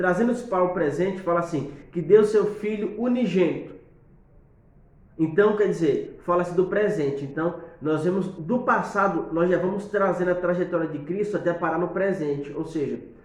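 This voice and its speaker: Heard with audible room echo, a man speaks at a moderate pace in a high pitch, with ordinary pitch variation. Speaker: preacher giving tips. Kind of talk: tutorial. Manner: halting, with many fillers.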